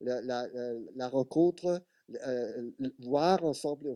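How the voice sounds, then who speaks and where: A man with an Italian accent speaks in a fairly high voice with a dark, mellow tone. His intonation stays fairly even. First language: Italian (speaking French). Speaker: television expert. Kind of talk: panel discussion. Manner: halting.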